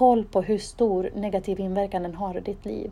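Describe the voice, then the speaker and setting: A woman's medium-pitched voice with a dark, mellow tone and fairly even intonation. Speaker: podcast host. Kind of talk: solo monologue giving advice.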